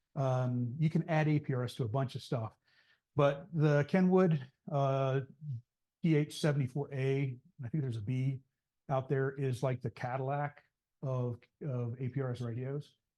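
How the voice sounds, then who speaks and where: A man's dark, mellow, somewhat breathy voice at medium pitch holds a fairly even intonation, broken by long, frequent pauses, over a quiet background. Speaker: ham radio club presenter. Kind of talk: club meeting presentation. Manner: fast; hesitant, many fillers.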